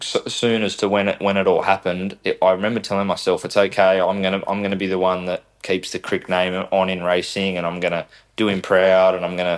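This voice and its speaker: A man's very deep, low voice with an Australian accent, flat and monotone, fairly quick and hardly pausing, on a very clean recording with a silent background. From Australia, south-western Sydney (Camden area). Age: 20s. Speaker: racing driver. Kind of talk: podcast interview. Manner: halting, many repetitions and fillers.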